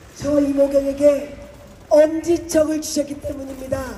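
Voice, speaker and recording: Against noticeable background noise, a woman speaks at a high pitch in a monotone, flat intonation. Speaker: politician. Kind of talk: campaign speech. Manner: loud, rousing.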